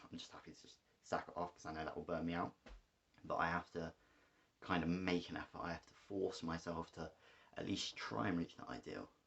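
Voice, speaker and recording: A man with an English accent and a very deep, low pitch, ordinary pitch variation, big swings in loudness, a fairly quick pace and long, frequent pauses. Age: 20s. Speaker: vlogger. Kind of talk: personal vlog monologue. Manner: fast; halting, many fillers.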